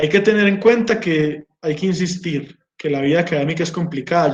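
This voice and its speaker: In an Antioquian accent, a man speaks at a fairly slow pace with a fairly high pitch. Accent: rural Antioquian Colombian. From Colombia, Marinilla, Antioquia. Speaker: geologist and doctoral researcher. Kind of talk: informal talk to students.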